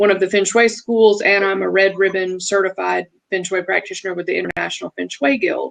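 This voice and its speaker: Here a woman talks in a Southern accent at a fairly quick pace. The sound is dry and close, with no echo. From US South (Alabama). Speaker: feng shui practitioner. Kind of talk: casual interview chat.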